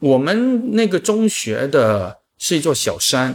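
On a very clean recording with a silent background, a man's voice makes very wide pitch swings. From Chaozhou, Guangdong, China. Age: 40s. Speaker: writing platform founder and podcaster. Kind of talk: casual chat.

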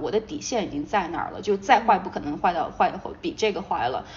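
A woman speaks at a very fast pace in a medium-pitched voice, with noticeable background noise. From Sichuan, China. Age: 30s. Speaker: marketing company founder. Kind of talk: casual interview chat.

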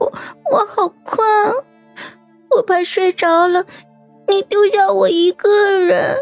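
Over faint background music, a woman puts on a character voice, extremely high in pitch and fairly slow, with long, frequent pauses. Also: ordinary pitch variation. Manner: frightened, pleading, drowsy.

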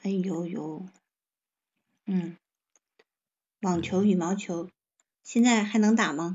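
A woman with a medium pitch speaks at a very slow pace, leaving long, frequent pauses. Her intonation is fairly even and her voice somewhat breathy. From Heilongjiang, northeast China. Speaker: live streamer. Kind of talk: casual chat.

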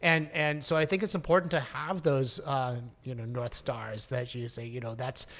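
In an American accent, a man with an ordinary speaking voice talks at medium pitch and a moderate pace, his intonation fairly even. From US. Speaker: Broadway producer and composer. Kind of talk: casual interview chat.

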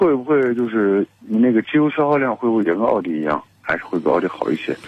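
His pitch swings very widely. The man keeps a fairly quick pace. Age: 40s. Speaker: caller. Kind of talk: call-in question to radio car show.

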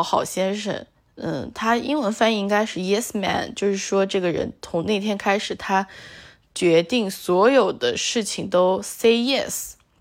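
Speaking at a moderate pace, a woman has a relaxed tone and a slight northeastern Chinese accent. The recording is very clean, with a silent background. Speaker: solo podcaster. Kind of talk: casual monologue. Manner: relaxed, with many fillers.

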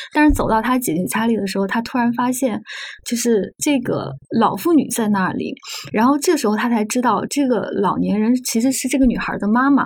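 There is noticeable background noise as a woman speaks at a fairly quick pace. Her pitch is fairly high, with ordinary variation. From northern Anhui, near Xuzhou. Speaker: magazine journalist. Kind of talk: podcast interview conversation.

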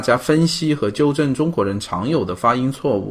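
Lively intonation marks this man's speech, delivered at a moderate pace in a medium pitch. He has a normal speaking voice. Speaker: podcast host. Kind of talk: casual interview; scripted intro.

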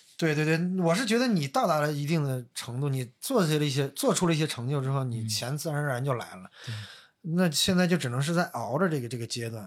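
Speaking fairly quickly in a plain, everyday voice, a man uses lively intonation at a fairly high pitch, in a very clean recording with a silent background. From Northeast China. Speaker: podcast guest telling personal stories. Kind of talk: casual chat.

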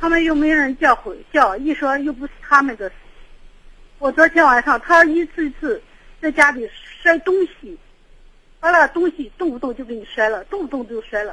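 A woman's high-pitched voice, bright and sharp, at a moderate pace with big swings in loudness and long, frequent pauses. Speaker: caller. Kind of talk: phone-in advice call. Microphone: too quiet.

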